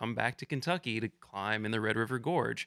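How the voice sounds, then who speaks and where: Speaking at a fairly quick pace, a man uses a plain, everyday voice with ordinary pitch variation. The recording is very clean with a silent background. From Southeast Michigan. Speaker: videographer and climber. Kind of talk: casual chat.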